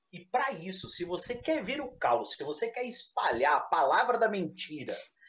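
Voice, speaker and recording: High-pitched male speech, animated in tone, with very wide pitch swings. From interior of São Paulo state, Brazil. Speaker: tabletop RPG podcast co-host. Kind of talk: casual chat.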